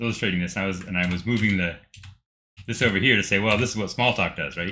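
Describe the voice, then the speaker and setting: A man's very deep, low voice with a bright, sharp tone and ordinary pitch variation. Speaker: programmer streamer. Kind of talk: screen-share tutorial recap. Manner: fast; halting, many fillers.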